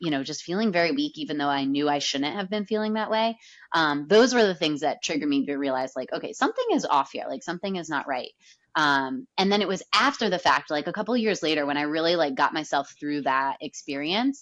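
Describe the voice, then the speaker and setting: Against a quiet background, a woman speaks loud and fairly quickly in an animated tone, her fairly low pitch making very wide swings. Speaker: yoga teacher and movement coach. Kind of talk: podcast interview.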